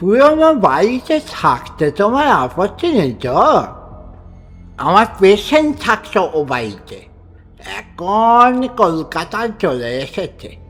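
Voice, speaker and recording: A put-on character voice, fairly high in pitch with very wide swings, at a very slow pace over faint background music. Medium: read story. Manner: genial, avuncular.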